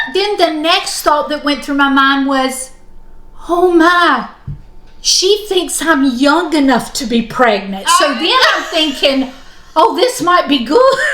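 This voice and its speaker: In a room with audible echo, a woman speaks in a raised, projected voice, her pitch swinging very widely. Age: 60s. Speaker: knitting channel co-host. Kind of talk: casual chat. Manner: animated.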